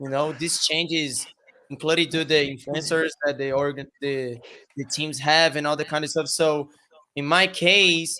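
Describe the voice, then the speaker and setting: With a Brazilian Portuguese accent, a man speaks at a moderate pace in a fairly high pitch, his bright, sharp tone held to fairly even intonation. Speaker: streamer and esports team member. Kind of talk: webinar panel discussion. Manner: halting.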